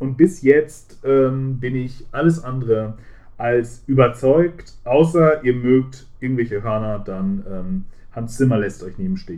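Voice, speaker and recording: Using a plain, everyday voice, a man talks at a fairly slow pace and medium pitch with lively intonation. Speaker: film podcast host. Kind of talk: casual film discussion. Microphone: muffled sound, as if a blanket over the mic.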